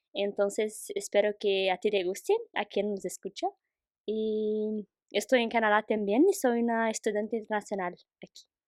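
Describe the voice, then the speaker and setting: A woman's fairly high voice with fairly even intonation, recorded dry and close with no echo. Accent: Portuguese. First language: Portuguese (speaking Spanish). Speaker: international student, guest. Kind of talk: casual conversation podcast. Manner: slow, careful.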